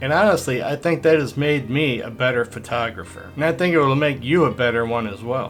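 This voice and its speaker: Over music in the background, a man speaks at a fairly quick pace with a medium pitch and ordinary pitch variation. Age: 60s. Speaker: landscape photographer. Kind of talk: casual talk to camera, camera review.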